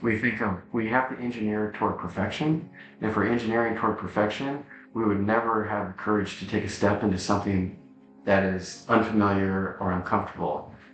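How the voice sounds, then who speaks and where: A man with an American accent talks at a fairly quick clip in a fairly low voice, his intonation fairly even, with music playing in the background. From Nebraska, USA. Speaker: founder of a purpose-driven social enterprise. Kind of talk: podcast interview answer.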